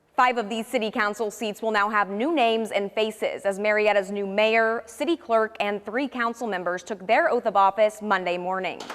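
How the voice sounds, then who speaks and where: A woman with an American accent and a fairly high pitch, ordinary pitch variation, moderate pace and hardly any pauses, over noticeable background noise. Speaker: TV news reporter and anchor. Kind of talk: studio anchor news read.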